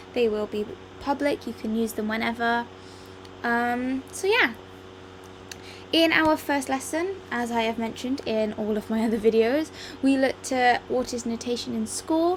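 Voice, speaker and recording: With an English accent, a woman speaks at a moderate pace and a fairly high pitch, with ordinary pitch variation and long, frequent pauses. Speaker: music teacher. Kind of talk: lecture. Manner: hesitant, many ums.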